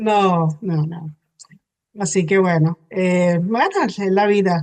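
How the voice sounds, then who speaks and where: A woman's medium-pitched voice, very slow and fairly even in intonation. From Venezuela. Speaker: hypnotherapist. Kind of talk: interview. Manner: hesitant, many fillers.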